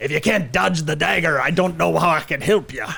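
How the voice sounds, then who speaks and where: A man does a put-on character voice, raspy and fairly high in pitch. He talks at a fairly quick pace with lively intonation. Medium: actual play. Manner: gruff, slurring, rambling.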